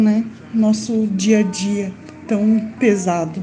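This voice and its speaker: A woman talks at a fairly high pitch, her voice carrying audible room echo. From Santa Catarina, southern Brazil. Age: 40s. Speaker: person with Parkinson's. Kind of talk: casual group chat. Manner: halting.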